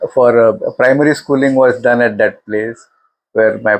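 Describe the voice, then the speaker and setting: Moderately paced speech from a man with an Indian accent and fairly even intonation. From India, Mumbai. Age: 70s. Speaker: retired elevator company executive. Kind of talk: life story interview. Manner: halting, many fillers.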